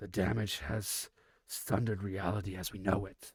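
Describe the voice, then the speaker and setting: A man puts on a character voice, raspy in quality. His pitch is fairly low. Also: moderate pace. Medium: read story. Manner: measured, scholarly.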